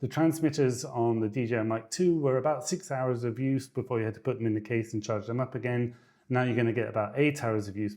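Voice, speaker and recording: Very fast speech comes from a man with a dark, mellow tone and ordinary pitch variation. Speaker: tech reviewer. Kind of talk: product review. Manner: casual.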